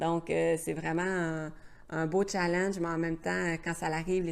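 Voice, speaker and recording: The speaker talks at a fairly slow pace in a Quebec accent, with a monotone, flat intonation. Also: woman. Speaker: travel vlogger. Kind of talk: casual chat. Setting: live stream. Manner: hesitant, many fillers.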